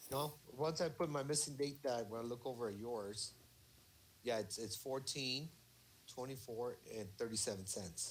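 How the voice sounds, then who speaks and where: A man speaks at a moderate pace with medium pitch and ordinary pitch variation. He has an unremarkable speaking voice. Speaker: accounting student. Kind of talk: casual study group walkthrough.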